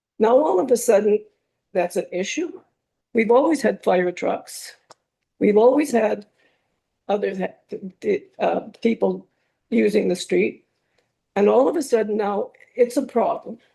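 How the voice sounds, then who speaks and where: Fairly high-pitched woman's voice with vocal fry and a dark, mellow tone, at a fairly slow pace with long, frequent pauses. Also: lively intonation. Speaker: member of the public at council meeting. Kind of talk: public comment at council meeting. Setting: council chambers.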